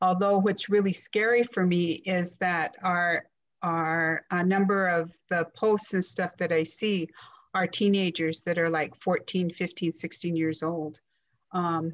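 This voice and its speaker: Speaking at a fairly slow pace, a woman keeps a fairly low pitch and fairly even intonation. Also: quiet background. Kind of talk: talk to an online group. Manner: halting, many fillers.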